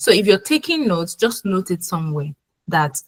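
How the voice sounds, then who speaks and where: The speaker goes at a moderate pace in a somewhat breathy voice. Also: woman. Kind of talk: webinar presentation. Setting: online webinar.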